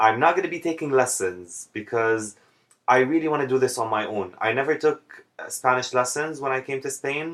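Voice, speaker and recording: With an Arabic accent, the voice moves at a moderate pace with ordinary pitch variation. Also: man, medium pitch for a man. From Jordan. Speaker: vlogger. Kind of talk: casual vlog monologue.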